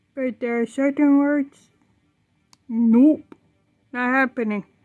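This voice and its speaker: In a very clean recording with a silent background and a dry, close sound with no echo, a woman with a high pitch speaks at a very slow pace with fairly even intonation. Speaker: vlogger. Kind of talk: casual monologue vlog.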